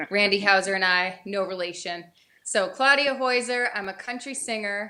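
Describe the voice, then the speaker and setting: A woman talks at a fairly slow pace in a New England accent. Her tone is bright and sharp. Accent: Yankee twang. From upstate New York. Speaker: country singer. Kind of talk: casual chat. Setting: studio.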